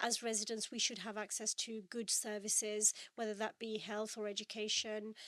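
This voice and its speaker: A woman speaks at a moderate pace in a fairly high pitch, her tone bright and sharp. Her intonation is monotone and flat. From Birmingham, England. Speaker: parliamentary candidate. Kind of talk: podcast interview. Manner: hesitant, many fillers.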